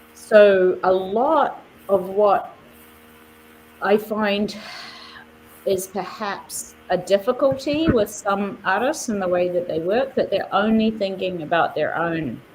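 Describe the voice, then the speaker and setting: Over noticeable background noise, a woman with a New Zealand accent and medium pitch speaks at a very slow pace, with long, frequent pauses and ordinary pitch variation. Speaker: artist and nonprofit leader. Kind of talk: interview. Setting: live stream.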